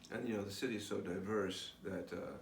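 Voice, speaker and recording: A man with an American accent talks at a fairly low pitch and a fairly quick pace. His intonation is flat and monotone, with audible room echo. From New York. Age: 50s. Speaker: spiritual vlogger. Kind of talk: personal video diary. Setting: recorded alone on camera. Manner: halting, many fillers.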